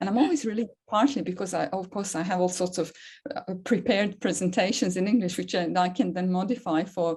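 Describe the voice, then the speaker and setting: Medium-pitched, somewhat breathy woman's voice with a dark, mellow tone and a Serbian accent, over a quiet background. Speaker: academic, seminar moderator. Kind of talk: seminar Q&A discussion.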